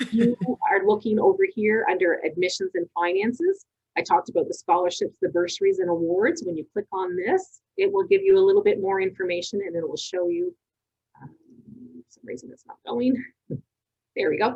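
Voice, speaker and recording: A woman talking at a fairly quick pace, with a dry, close sound and no echo. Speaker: college representative. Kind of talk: information session presentation. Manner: fast.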